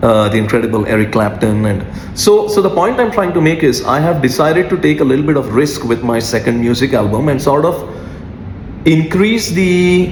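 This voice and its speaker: A man with a non-native accent speaks at a moderate pace in a fairly high pitch with very wide pitch swings and very even loudness, amid noticeable background noise and audible room echo. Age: 40s. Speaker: music artist. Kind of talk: freestyle monologue. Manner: many filler 'uh's.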